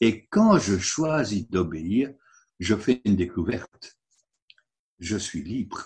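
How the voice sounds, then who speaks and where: At a very slow pace, a man with a fairly low pitch speaks somewhat breathily, leaving long, frequent pauses. His intonation is lively. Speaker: preacher. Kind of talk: sermon. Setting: online service. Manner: earnest, didactic, persuasive; rhetorical, engaging the congregation.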